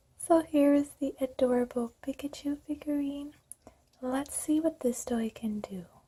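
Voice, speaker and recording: A soft-spoken woman whispers. Her pace is fairly slow. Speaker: music therapist. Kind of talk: ASMR unboxing. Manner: whispered, soft-spoken.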